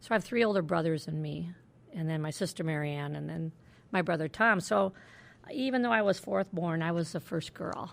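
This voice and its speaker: A woman with an ordinary speaking voice talks at a fairly quick pace in a fairly low pitch. Her intonation is lively, with big swings in loudness. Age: 60s. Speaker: spiritual director. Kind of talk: interview.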